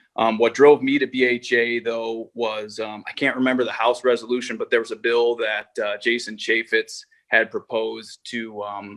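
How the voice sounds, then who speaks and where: In a monotone, flat delivery with an American accent, a man speaks at a moderate pace and medium pitch with hardly any pauses, in a dry, close sound with no echo. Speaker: hunting educator. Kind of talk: webinar presentation. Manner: halting, many fillers.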